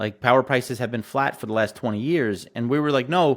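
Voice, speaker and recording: This man has a plain, everyday voice at a medium pitch, with ordinary pitch variation. The recording is very clean, and the background is silent. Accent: American. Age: 40s. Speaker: energy and agriculture investor, company CEO. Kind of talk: interview.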